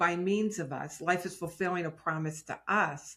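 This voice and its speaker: A woman's medium-pitched voice, bright and sharp in tone, with ordinary pitch variation, in a very clean recording with a silent background. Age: 60s. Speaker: success and prosperity teacher. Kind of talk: casual interview chat.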